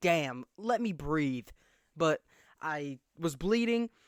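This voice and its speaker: A loud, animated man talks with lively intonation at a fairly high pitch. The recording is very clean and dry, close with no echo and a silent background. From small conservative town. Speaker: podcast host. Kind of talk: casual chat.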